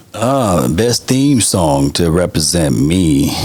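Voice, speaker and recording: The voice swings very widely in pitch against noticeable background noise. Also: man. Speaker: sports content creator. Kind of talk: podcast interview. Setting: studio.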